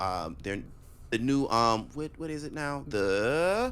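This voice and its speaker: Loud and very slow, a man speaks in a bright, sharp tone with very wide pitch swings, and room echo is audible. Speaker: podcast co-host. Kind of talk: casual chat.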